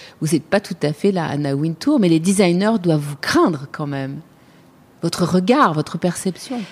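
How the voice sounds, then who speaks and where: A woman speaks fairly slowly at a medium pitch, her voice somewhat breathy. Her pitch swings very widely. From Paris, France. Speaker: podcast host. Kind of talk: interview.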